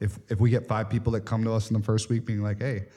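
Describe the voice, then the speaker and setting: Somewhat breathy and dark, mellow in tone, a man with a medium pitch speaks at a very fast pace. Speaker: podcast host. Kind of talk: casual conversational podcast.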